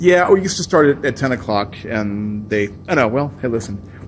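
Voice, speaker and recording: A man's ordinary speaking voice at medium pitch, with lively intonation and a fairly quick pace. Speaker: radio show host. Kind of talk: interviewer, casual talk.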